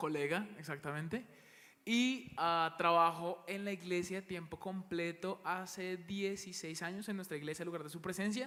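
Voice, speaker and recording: A man's high voice has a bright, sharp tone as he talks at a moderate pace with ordinary pitch variation. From Bogotá, Colombia. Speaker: church worship leader. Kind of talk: panel interview.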